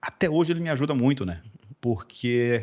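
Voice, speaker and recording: At a moderate pace, a man with a medium pitch talks in very wide pitch swings. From Recife, Brazil. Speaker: engineer. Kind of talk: podcast interview. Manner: hesitant, many fillers and repetitions.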